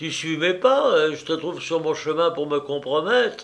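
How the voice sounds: Putting on a character voice, a man talks fairly slowly with a fairly bright tone, vocal fry, fairly high pitch and lively intonation.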